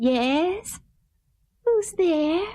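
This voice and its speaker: A woman's squeaky, put-on character voice at an extremely high pitch, with very wide pitch swings. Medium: audio drama.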